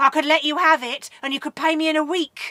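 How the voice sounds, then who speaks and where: This is a put-on character voice. Its intonation is monotone and flat. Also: woman, dry, close sound with no echo. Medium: read story. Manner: sly, menacing.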